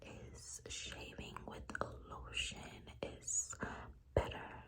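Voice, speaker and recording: Whispering from a woman, with noticeable background noise behind it. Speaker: ASMR creator. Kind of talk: ASMR girl talk, soft-spoken advice to the viewer. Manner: soft-spoken, whispered.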